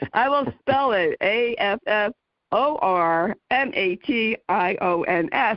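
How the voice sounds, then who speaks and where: At a very slow pace, a woman in a New Jersey accent speaks with a fairly high pitch, lively intonation and very even loudness. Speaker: podcast host, interviewer.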